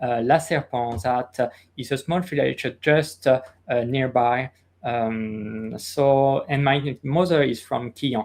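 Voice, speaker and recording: Pitched at a medium level, a man talks at a very slow pace. His pitch varies in an ordinary way. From France, Orléans area. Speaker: castle curator. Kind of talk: interview. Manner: halting, many fillers.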